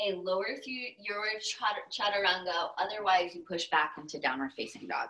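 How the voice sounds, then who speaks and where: A woman with an American accent, calm and bright, sharp in tone, at a moderate pace. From Texas. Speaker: yoga teacher. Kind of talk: guided yoga class instruction. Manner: calm, paced cues timed to breath.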